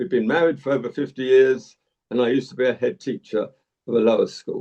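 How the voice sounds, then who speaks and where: Talking at a very fast pace, a man has a medium-pitched voice with a dark, mellow tone, vocal fry and ordinary pitch variation. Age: 70s. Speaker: retired head teacher. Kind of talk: interview.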